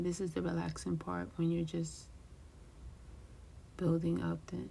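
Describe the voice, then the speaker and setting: Whispering, the speaker is soft-spoken with a calm tone. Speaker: craft YouTuber. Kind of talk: tutorial. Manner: whispering softly; calm, slow.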